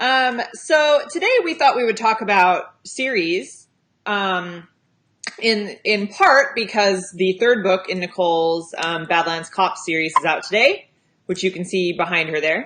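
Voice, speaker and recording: A woman with a West Coast US accent, medium in pitch, lively in intonation, at a fairly slow pace. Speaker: romance author and livestream host. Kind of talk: casual chat. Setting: livestream.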